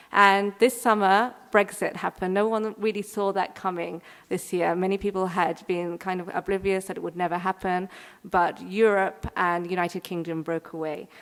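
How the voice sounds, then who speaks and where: A woman speaks at medium pitch with an English accent. Her intonation is monotone and flat, her pace moderate. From England, London. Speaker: curator. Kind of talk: keynote lecture.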